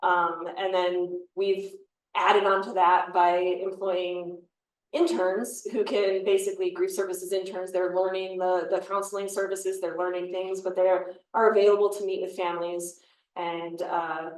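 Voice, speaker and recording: Audible room echo surrounds a woman of medium pitch speaking in an American accent with monotone, flat intonation. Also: moderate pace. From US Midwest, Chicago area. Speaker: forensic pathologist. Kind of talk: panel talk answering questions.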